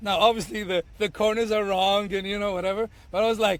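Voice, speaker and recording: A man talks with an Arabic accent at a fairly quick pace. His pitch is high. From Tunisia. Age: 30s. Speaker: bartender and bar owner. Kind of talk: podcast interview. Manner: halting, many fillers and repeats.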